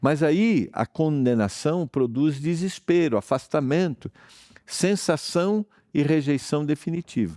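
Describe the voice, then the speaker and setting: In a very clean recording with a silent background and a dry, close sound with no echo, a man speaks in a fairly high pitch with a dark, mellow tone and lively intonation. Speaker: pastor, Bible teacher. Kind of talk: televised Bible study.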